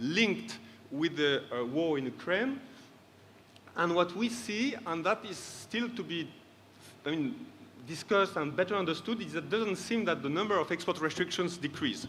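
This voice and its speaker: The voice sounds bright and sharp, with lively intonation. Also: man. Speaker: trade policy expert panelist. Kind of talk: conference presentation. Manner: fast.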